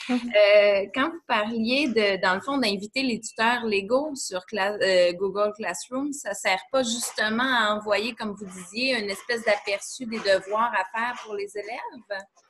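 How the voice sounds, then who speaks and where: Over light background noise, a woman speaks fairly slowly at a fairly high pitch with ordinary pitch variation. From Quebec. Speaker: teacher. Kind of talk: casual chat. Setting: video call. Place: home room. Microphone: webcam.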